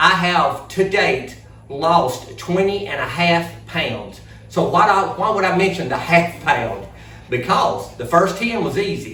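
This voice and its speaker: In an Alabama accent, a man with a high pitch speaks in a raised, projected voice at a fairly slow pace. Audible room echo and noticeable background noise fill the recording. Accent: Southern US (Alabama). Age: 60s. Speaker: vlogger. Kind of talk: casual vlog talk. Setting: outdoor building.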